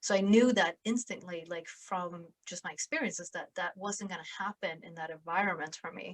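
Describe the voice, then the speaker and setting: Speaking with a Swedish accent at a moderate pace with hardly any pauses, a woman uses a medium pitch, ordinary pitch variation and big swings in loudness, in a dry, close sound with no echo. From southern Sweden, small town. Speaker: podcast host and sales influencer. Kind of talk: interview conversation.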